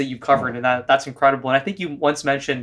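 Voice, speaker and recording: A man's fairly high, monotone, flat voice on a very clean recording with a silent background. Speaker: podcast host. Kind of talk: interview question.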